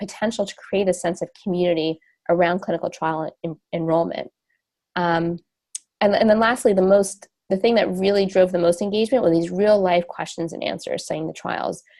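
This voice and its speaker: A woman speaks fairly quickly with a New Jersey accent. Her medium-pitched voice has a dark, mellow tone. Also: ordinary pitch variation. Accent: New Jersey American. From US, New Jersey. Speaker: radiation oncologist and company co-founder. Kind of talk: webinar lecture. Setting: webinar. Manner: fast.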